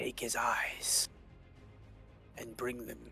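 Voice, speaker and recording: A man whispering in a put-on character voice, music in the background. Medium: actual play. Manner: terse, commanding.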